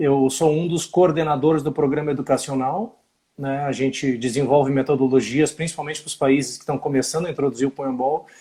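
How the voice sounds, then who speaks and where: With a southern Brazilian accent, a man talks at a fairly quick pace in a fairly high pitch, his somewhat breathy voice dark and mellow in tone, with fairly even intonation. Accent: southern Brazilian (gaúcho). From southern Brazil, Rio Grande do Sul. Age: 50s. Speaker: physical education teacher. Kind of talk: live-stream interview. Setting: Instagram live video.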